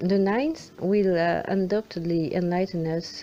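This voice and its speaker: A woman speaks in a French accent at a fairly slow pace. Her pitch is fairly low, with ordinary variation. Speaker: film fan commentator. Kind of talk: film analysis commentary.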